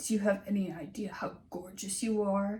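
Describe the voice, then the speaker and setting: A woman puts on a character voice that is raspy and husky. She speaks at a moderate pace with a medium pitch and monotone, flat intonation. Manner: flirtatious.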